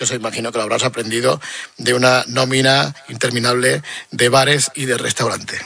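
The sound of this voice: A man's bright, sharp tone with a slightly husky edge, vocal fry and fairly even intonation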